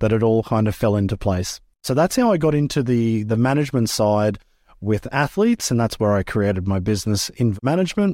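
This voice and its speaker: In a very clean recording with a silent background, a man with an Australian accent speaks at a moderate pace in a medium pitch, with a dark, mellow tone, lively intonation and very even loudness. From Australia, rural Queensland. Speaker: former freestyle motocross rider, business manager. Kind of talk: interview.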